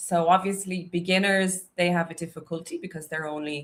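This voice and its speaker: A woman with a Dublin accent. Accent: Dublin Irish. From Ireland, Dublin. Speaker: English teacher. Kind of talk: live stream chat. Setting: live stream on YouTube and Instagram. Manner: casual, chatty.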